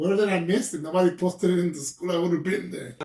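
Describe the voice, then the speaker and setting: A somewhat breathy man talks at a fairly quick pace in a dark, mellow tone. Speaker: podcast host. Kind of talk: casual interview talk.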